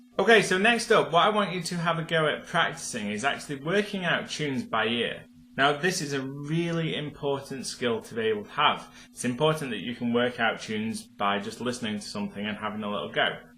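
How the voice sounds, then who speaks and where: A man's fairly high-pitched voice with very wide pitch swings and a fairly quick pace, amid audible room echo and noticeable background noise. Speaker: piano teacher. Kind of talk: tutorial. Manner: casual, with filler words.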